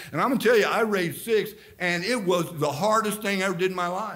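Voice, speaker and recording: With a quiet background, a man speaks in an energetic tone with ordinary pitch variation. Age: 60s. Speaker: Baptist pastor. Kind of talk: fiery Baptist sermon with scripture reading and folksy asides. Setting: church service. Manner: rambling, energetic preaching full of fillers and repeats; jokey, teasing with the congregation. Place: church. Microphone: camera far.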